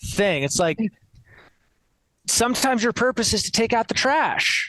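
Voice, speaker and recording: With an American accent, a man talks at a moderate pace in an extremely high pitch, his tone bright and sharp, his intonation lively, over a quiet background with a dry, close sound and no echo. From US Northeast (New Jersey). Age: 30s. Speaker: coach and former musical theatre performer. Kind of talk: podcast interview. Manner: animated.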